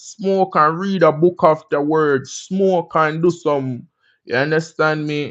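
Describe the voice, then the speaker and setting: Over a quiet background, a man with a Jamaican accent speaks at a very slow pace. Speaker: livestream host. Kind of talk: casual livestream chat. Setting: livestream on laptop. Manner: animated.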